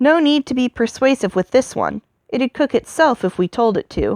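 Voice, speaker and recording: Using a put-on character voice, a woman speaks with a high pitch. The pace is moderate. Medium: read story. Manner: blunt, contemptuous.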